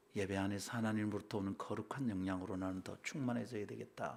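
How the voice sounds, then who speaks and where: Vocal fry runs through a man's fairly low-pitched voice, his intonation fairly even. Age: 60s. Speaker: pastor. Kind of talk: sermon.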